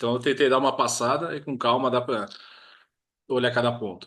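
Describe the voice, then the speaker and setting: A man speaks at a fairly quick pace and medium pitch against a quiet background. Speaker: project management trainer. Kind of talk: webinar lecture wrap-up. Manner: fast.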